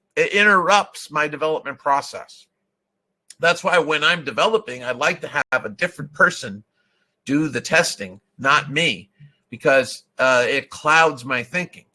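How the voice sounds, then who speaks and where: In an American accent, a man with fairly high pitch and a bright, sharp tone talks at a fairly slow pace with lively intonation. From US Northeast (Vermont). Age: old. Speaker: software testing consultant. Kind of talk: webinar presentation. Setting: online webinar. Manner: confident.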